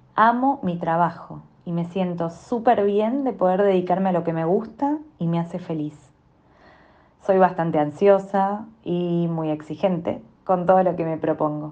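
A woman speaks in a normal speaking voice at a fairly low pitch. Her pace is fairly slow, with ordinary pitch variation. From Argentina. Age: 30s. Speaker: breast cancer survivor, teacher and journalist. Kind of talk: scripted introduction.

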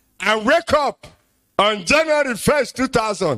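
This man speaks with a Nigerian accent. His intonation is lively. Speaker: pastor. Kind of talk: sermon.

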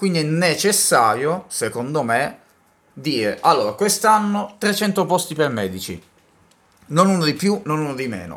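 Taking long, frequent pauses, a man speaks at a fairly slow pace and a fairly high pitch, with very wide pitch swings. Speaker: podcast co-host. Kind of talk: casual chat.

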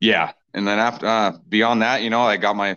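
A man with an American accent, talking at a very fast pace. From Washington State, Kitsap County. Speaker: country and rock musician. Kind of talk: casual interview.

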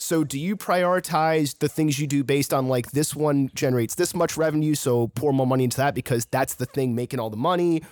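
A man with a fairly high pitch talks at a fairly quick pace with hardly any pauses and ordinary pitch variation; he has a plain, everyday voice. The very clean recording has a silent background and a dry, close sound with no echo. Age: 30s. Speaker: podcast host. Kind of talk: casual chat.

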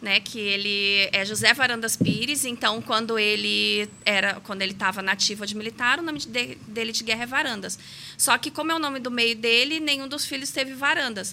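A woman speaks at a moderate pace with a fairly high pitch and ordinary pitch variation. Her tone is bright and sharp. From Brazil, Rio de Janeiro. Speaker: pharmacist and aesthetics practitioner. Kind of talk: interview.

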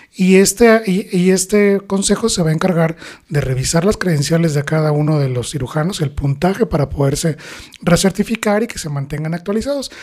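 Ordinary pitch variation marks this speech, which runs at a fairly quick pace. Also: man, high pitch for a man. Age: 40s. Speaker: plastic surgeon. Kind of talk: interview. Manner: hesitant fillers.

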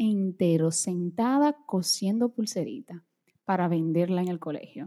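Fairly slow female voice with a dark, mellow tone and lively intonation. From Brazil, moved to Dominican Republic as child, back at 15. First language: Portuguese (speaking Spanish). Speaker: beauty and fashion content creator. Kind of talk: interview conversation.

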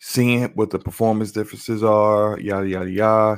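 The pace is moderate, and the intonation is monotone and flat. It is a very clean recording with a silent background. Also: man. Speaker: gaming podcast co-host and YouTuber. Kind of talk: casual chat.

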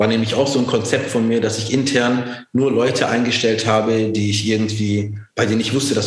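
At a moderate pace, a man with a medium pitch talks in a monotone with flat intonation. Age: 40s. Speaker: entrepreneur. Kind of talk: interview. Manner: many fillers and restarts.

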